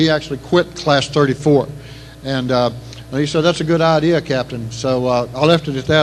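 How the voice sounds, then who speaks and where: Over noticeable background noise, a man with an East Texas accent talks at a fairly quick pace, his fairly high pitch carried in fairly even intonation. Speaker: retired Navy SEAL officer, banquet speaker. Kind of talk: after-dinner speech. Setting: banquet hall PA system. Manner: fast; halting, many repetitions.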